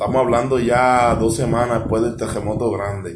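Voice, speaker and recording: A man speaks at a medium pitch with fairly even intonation. Room echo is audible, and background noise is noticeable. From US, Philadelphia. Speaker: charity founder. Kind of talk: casual chat.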